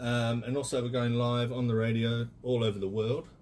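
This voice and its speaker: A man talks at a medium pitch with an Australian accent. His pace is moderate. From Australia (Perth/Fremantle). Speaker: radio host. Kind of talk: radio interview. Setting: studio.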